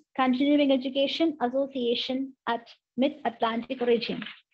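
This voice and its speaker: Pitched high, a woman talks at a moderate pace. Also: quiet background. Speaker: college professor and nun; college professor. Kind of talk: formal introduction. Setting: video call. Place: home room. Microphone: video call.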